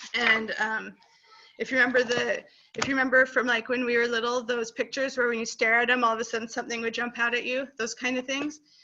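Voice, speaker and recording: A high-pitched woman talking at a very fast pace, with noticeable background noise. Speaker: homeschooling parent presenter. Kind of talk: casual online presentation. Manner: animated.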